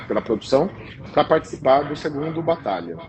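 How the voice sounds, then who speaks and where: Over noticeable background noise, a man speaks. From interior of São Paulo state, Brazil. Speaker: pastry chef. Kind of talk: interview. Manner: halting, repeats words.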